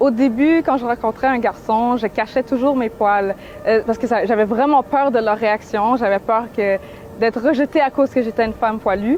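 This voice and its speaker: Noticeable background noise sits behind a woman with a Quebec accent. Her fairly high voice has ordinary pitch variation, very even loudness and a moderate pace. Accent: Québécois French. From Quebec, Montreal. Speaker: activist and painter. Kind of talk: interview.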